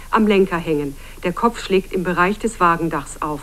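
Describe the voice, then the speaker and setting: Moderate pace amid noticeable background noise. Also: woman. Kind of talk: TV news report narration.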